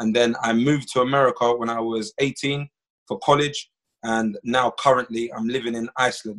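At a moderate pace, the speech carries a fairly bright tone and fairly even intonation. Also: man, medium pitch for a man.

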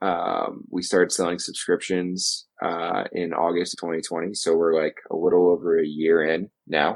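Speaking at a fairly slow pace with hardly any pauses, a man talks in an American accent. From upstate New York (Adirondacks). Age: 30s. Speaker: magazine editor and outdoor journalist. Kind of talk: casual interview.

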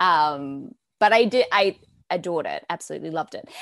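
Recorded very cleanly against a silent background, with a dry, close sound and no echo, a woman speaks at a fairly low pitch in an Australian accent. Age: 20s. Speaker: news producer and reporter. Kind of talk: casual chat.

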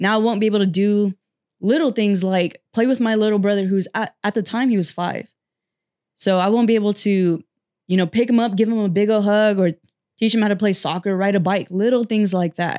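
Speaking at a fairly quick pace with very even loudness, a woman with an American accent has a medium pitch, a dark, mellow tone and fairly even intonation, recorded dry and close with no echo, very clean, over a silent background. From California Central Valley (Fresno). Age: 20s. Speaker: motivational speaker. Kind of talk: podcast interview.

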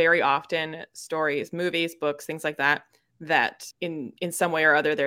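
Speech with an American accent, the recording very clean and the background silent. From United States. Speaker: podcast co-host. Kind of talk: casual chat.

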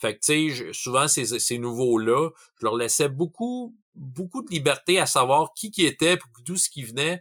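In an unremarkable speaking voice, a man talks at a fairly slow pace and fairly high pitch, with lively intonation and big swings in loudness. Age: 40s. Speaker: tabletop role-playing game master. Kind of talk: casual chat.

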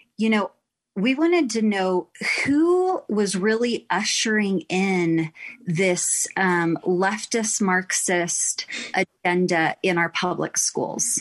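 A woman with an American accent talks at a very slow pace, with ordinary pitch variation and very even loudness. The sound is dry and close, with no echo. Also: medium pitch for a woman. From Texas. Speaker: activist mother. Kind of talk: interview.

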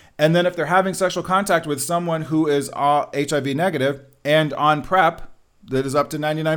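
Holding a fairly even intonation, a man speaks at a high pitch. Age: 40s. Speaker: nurse practitioner. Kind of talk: interview.

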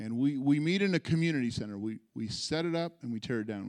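In a very clean recording with a silent background, a man with an American accent speaks at a fairly quick pace. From California, US. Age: 40s. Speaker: pastor. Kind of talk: testimony; sermon. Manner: conversational, with frequent fillers and repetitions.

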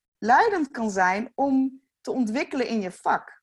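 Very slow and high-pitched, a woman's voice swings very widely in pitch. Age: 40s. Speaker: youth care foundation founder. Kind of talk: casual chat.

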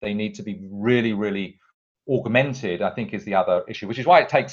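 Against a quiet background, a man speaks with a British accent at medium pitch. His pace is fairly quick and his intonation lively. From UK. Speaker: tech company CEO. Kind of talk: interview. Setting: at home. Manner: hesitant with fillers.

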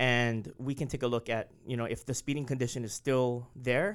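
A man with a Hawaiian accent at a moderate pace, in a very clean recording with a silent background. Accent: Hawaii English. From Hawaii, Oahu windward side. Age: 40s. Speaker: city transportation official. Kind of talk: interview.

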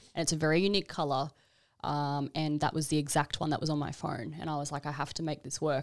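A woman with an Australian accent and a very deep, low pitch, speaking at a very fast pace in a very clean recording with a silent background. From Queensland, Australia (Brisbane). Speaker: e-commerce entrepreneur. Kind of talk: podcast interview.

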